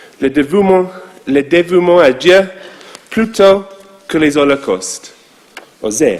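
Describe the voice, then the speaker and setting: A man with a high pitch, ordinary pitch variation, big swings in loudness, a very slow pace and long, frequent pauses, over noticeable background noise. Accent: English. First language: English (speaking French). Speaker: rabbi. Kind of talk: sermon.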